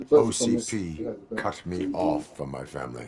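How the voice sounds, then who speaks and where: A put-on male character voice, pitched very deep and low, at moderate speed. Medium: video game. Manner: flat, clipped, no contractions.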